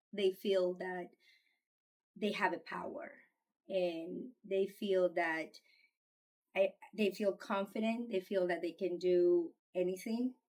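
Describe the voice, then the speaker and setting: At a very slow pace, a woman with a Spanish accent speaks in a medium pitch with ordinary pitch variation. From Colombia. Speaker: parent. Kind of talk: interview testimony. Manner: halting.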